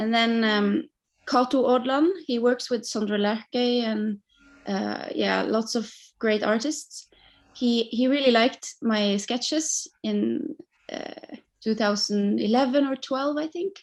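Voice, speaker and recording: Spoken at a very slow pace with a Norwegian accent, the voice shows ordinary pitch variation. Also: woman, fairly high pitch for a woman. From Norway. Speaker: singer-songwriter. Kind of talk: interview.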